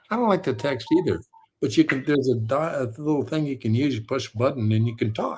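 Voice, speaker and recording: Delivery comes at a very fast pace with lively intonation. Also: man, medium pitch for a man. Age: 70s. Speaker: author and storyteller. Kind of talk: casual chat. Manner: animated.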